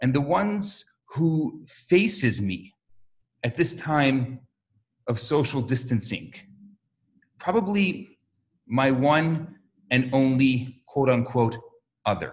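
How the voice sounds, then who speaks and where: Somewhat breathy and medium in pitch, a man speaks very slowly with lively intonation and long, frequent pauses. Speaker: rabbi. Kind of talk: religious talk to camera.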